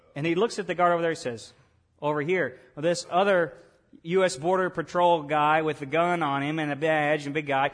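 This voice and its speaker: His pace runs fairly quick. The man talks in a Southern US accent. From US South, Arkansas. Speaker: pastor. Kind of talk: sermon. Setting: church.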